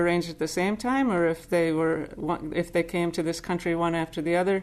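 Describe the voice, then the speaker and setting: Over a quiet background, a woman with an American accent uses a normal speaking voice, talking fairly quickly at a fairly low pitch with fairly even intonation. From US Northeast (Boston suburb, Massachusetts). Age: 60s. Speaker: Zen teacher. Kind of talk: dharma talk.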